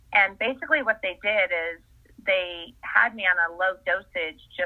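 A woman with an American accent talks at a fairly slow pace in an ordinary speaking voice of medium pitch. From US Northeast, Essex, Connecticut. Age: 50s. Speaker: wellness coach. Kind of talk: casual interview.

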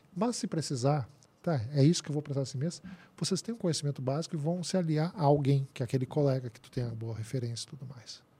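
Very fast and somewhat breathy, a man with a fairly high pitch and a dark, mellow tone uses lively intonation and big swings in loudness. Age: 50s. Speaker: labour court expert, engineer and professor. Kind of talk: interview.

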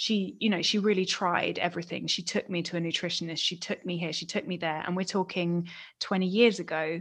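In an English accent, a woman with a fairly low voice talks at a fairly quick pace and with fairly even intonation against a quiet background. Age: 30s. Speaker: podcast co-host. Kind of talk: casual chat.

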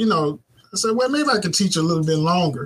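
A man is speaking. He has an American accent. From Mississippi, US South (Clarksdale). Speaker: web and graphic designer, business owner, former teacher. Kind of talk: casual interview chat. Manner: hesitant, many fillers.

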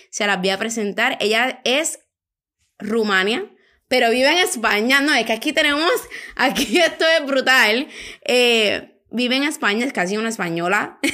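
An animated woman speaks fairly slowly at a high pitch, with lively intonation and a bright, sharp tone. The recording is very clean, with a silent background. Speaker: podcast host, eyelash extension educator. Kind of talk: casual chat. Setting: recording together at a meal in Spain.

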